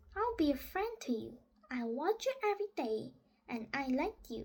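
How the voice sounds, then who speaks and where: Putting on a character voice, a woman speaks at a moderate pace with a high pitch and very wide pitch swings. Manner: pleasant, friendly.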